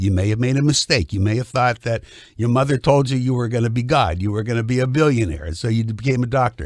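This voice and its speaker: A man talking fairly quickly at a medium pitch. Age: 60s. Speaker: cartoon creator and political commentator. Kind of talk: heated debate. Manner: animated; interrupting, insistent.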